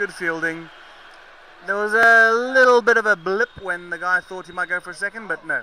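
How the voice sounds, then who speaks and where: In a raised, projected voice, a man with a high pitch and a bright, sharp tone speaks at a moderate pace with big swings in loudness, the sound dry and close with no echo. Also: ordinary pitch variation. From Zimbabwe, England and South Africa. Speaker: cricket commentator. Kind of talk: live commentary. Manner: animated.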